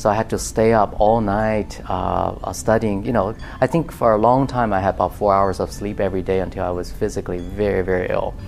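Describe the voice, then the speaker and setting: With music in the background, a man with a fairly low pitch and ordinary pitch variation talks at a fairly quick pace with hardly any pauses. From China, Beijing. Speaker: composer and professor. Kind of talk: interview.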